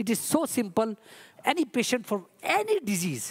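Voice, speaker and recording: In an Indian accent, a woman speaks with a fairly high pitch. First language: Hindi. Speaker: ayurvedic physician. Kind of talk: conference talk. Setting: stage with audience.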